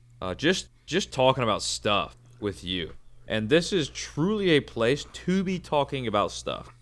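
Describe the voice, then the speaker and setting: Loud male speech at a very slow pace, full of very wide pitch swings, on a very clean recording with a silent background. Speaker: podcast guest. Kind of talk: casual chat. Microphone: microphone too close, peaking.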